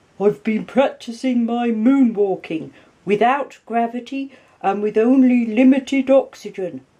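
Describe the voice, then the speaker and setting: A put-on character voice from a woman, fairly high in pitch, at a moderate pace. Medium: read story.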